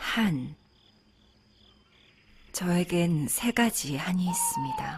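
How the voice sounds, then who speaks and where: Over noticeable background noise, a woman speaks in a calm tone at a fairly low pitch. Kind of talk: poetry reading, audiobook narration for sleep. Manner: soft, calm, slow.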